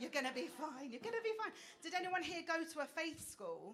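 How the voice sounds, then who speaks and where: A woman with an Essex accent at a fairly quick pace, with audible room echo. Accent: Essex accent, people may struggle. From England, Essex. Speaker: stand-up comedian. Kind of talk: stand-up. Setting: stage with audience. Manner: animated.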